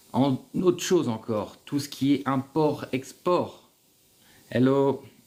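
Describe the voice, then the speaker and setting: A man speaks at a very slow pace with a dark, mellow tone and a medium pitch. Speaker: livestream host on business in Algeria. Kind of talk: live stream Q&A. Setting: livestream. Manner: energetic.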